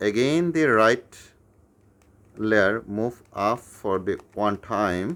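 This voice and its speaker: Very slow speech from a man with a non-native accent. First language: not English. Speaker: YouTuber teaching puzzle tricks. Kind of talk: tutorial. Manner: halting with fillers.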